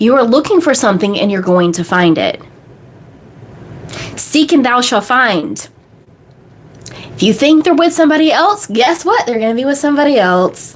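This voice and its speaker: A woman with a high pitch and an animated tone, very wide pitch swings, a moderate pace and long, frequent pauses, over noticeable background noise. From United States. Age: 30s. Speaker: manifestation coach. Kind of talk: live stream Q&A. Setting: live stream.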